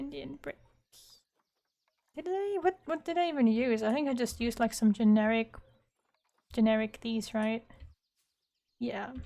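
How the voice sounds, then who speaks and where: A woman's high voice with a non-native accent, very wide pitch swings and a moderate pace. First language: not English. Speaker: gaming YouTuber. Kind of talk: casual gameplay commentary. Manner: casual, thinking aloud.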